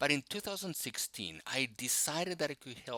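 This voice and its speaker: A man with a Spanish accent speaks in a bright, sharp tone, his voice dry and close with no echo on a very clean recording against a silent background. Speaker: technical instructor and tech blogger. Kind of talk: scripted self-introduction.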